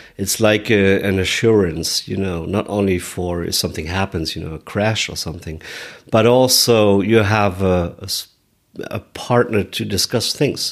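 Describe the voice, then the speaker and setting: With a German accent, a man speaks at a moderate pace, his fairly low pitch carried in fairly even intonation. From Germany, Munich. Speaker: motorcycle adventurer and speaker. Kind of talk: interview. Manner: halting.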